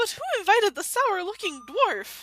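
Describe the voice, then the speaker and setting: Using a put-on character voice, a woman speaks at a moderate pace in an extremely high pitch with a bubbly tone. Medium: game stream. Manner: bubbly, delighted.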